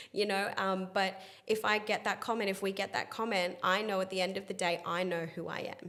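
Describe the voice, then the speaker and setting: Bright and sharp in tone, a woman with an Australian accent talks fairly quickly at a medium pitch. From Australia, Sydney. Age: 30s. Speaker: spiritual healer. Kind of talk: interview. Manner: fast; animated.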